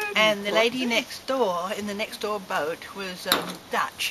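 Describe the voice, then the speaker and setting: A woman speaks with a London accent. Noticeable background noise runs behind her. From southwest London, England. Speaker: club member. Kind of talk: casual chat.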